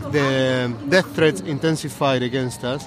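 A man with a Spanish accent talks at a fairly slow pace. Noticeable background noise and audible room echo are present. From Argentina. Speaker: scientist and environmental activist. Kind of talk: interview. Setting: outdoors, sitting on a low wall in a park at a protest.

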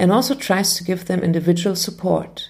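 A woman with a German accent, her voice somewhat breathy, medium in pitch, dark and mellow in tone. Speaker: podcast host, music educator. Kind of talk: scripted narration. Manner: formal.

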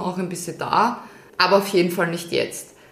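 The speaker is a woman with a medium pitch. Room echo can be heard in the recording. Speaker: podcast co-host. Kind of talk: casual chat.

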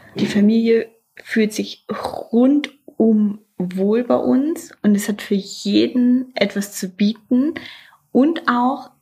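A somewhat breathy woman with a fairly high pitch. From northeastern Germany, Mecklenburg Lake District. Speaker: hotel director. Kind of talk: interview monologue.

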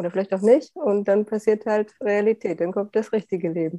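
Against a quiet background, a woman speaks at a fairly quick pace in a dark, mellow tone. Her pitch is medium with ordinary variation. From Saxony, Upper Lusatia (eastern Germany). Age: 40s. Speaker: process consultant and coach. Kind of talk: personal interview about grief.

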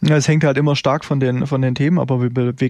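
Using a plain, everyday voice, a man speaks at a fairly quick pace with medium pitch and fairly even intonation. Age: 30s. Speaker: trader and investment firm founder. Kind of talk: interview.

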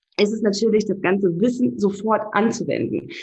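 Somewhat breathy and fairly high, a woman's voice moves at a moderate pace with ordinary pitch variation. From Namibia, Windhoek. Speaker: relationship and life coach. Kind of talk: interview.

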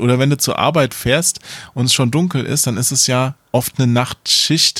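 A man with an unremarkable speaking voice at a medium pitch talks at a moderate pace in a very clean recording with a silent background and a dry, close sound with no echo. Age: middle-aged. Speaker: games journalist. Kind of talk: casual chat.

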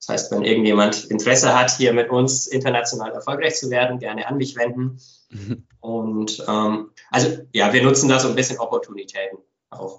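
A man talks at a moderate pace in a medium pitch with fairly even intonation and an ordinary speaking voice. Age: 30s. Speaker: company founder and managing director. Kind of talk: podcast interview. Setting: home office.

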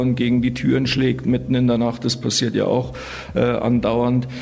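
There is noticeable background noise. Through it, a man talks at medium pitch. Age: 40s. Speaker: prisoner claiming innocence. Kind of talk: interview. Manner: halting, repeating words.

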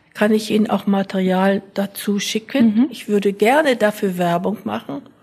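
A woman's medium-pitched voice rises through noticeable background noise. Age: 80s+. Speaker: retired sociology professor. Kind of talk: interview.

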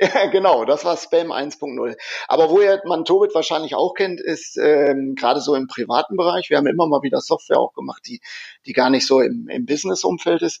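A man's high-pitched voice with lively intonation. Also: fairly quick pace. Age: 40s. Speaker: software company innovation lab head. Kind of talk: interview. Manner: hesitant with many fillers.

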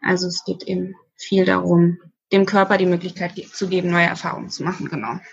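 Somewhat breathy female speech, its intonation fairly even. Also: fairly low pitch for a woman, fairly quick pace. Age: 30s. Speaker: social worker. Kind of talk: casual interview.

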